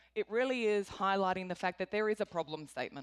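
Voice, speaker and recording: A woman with an Australian accent speaks at a medium pitch with ordinary pitch variation, in a very clean recording with a silent background and a dry, close sound with no echo. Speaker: corporate executive. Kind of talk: conference talk.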